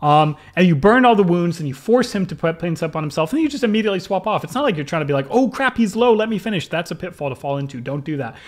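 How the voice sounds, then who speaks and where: This man speaks at a very fast pace, hardly pausing at all. His high-pitched voice is animated, with very wide pitch swings. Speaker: video game coach. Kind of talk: gameplay video review. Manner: abrasive.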